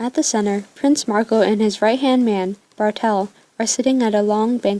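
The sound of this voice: Someone reads in an unforced reading voice.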